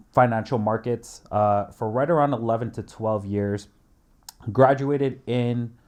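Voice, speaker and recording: A man with a Canadian accent, a normal speaking voice and medium pitch, at a moderate pace with fairly even intonation over a quiet background. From Canada, Toronto. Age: 20s. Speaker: day trader. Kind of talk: casual interview.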